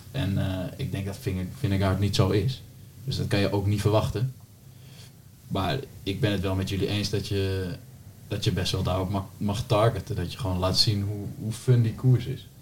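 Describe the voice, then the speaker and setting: Here a man speaks at a fairly low pitch and a fairly quick pace. His voice is somewhat breathy, with fairly even intonation. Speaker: podcast host. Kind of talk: casual chat.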